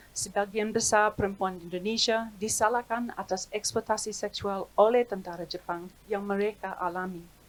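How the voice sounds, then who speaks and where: A woman at a medium pitch and moderate pace, her intonation fairly even, with hardly any pauses. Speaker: historian. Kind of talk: reading aloud. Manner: formal.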